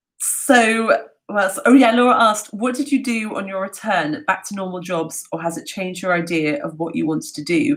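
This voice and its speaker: With a London accent, a woman speaks at a moderate pace in a medium pitch, her intonation lively and her loudness swinging widely. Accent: southern English (London). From London, England. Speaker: travel talk host. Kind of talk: live Q&A. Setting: livestream from home. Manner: halting, many fillers; animated.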